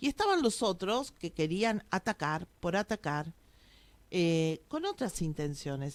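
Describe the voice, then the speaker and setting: A woman speaks at a fairly slow pace. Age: 60s. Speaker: local historian. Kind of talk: radio interview.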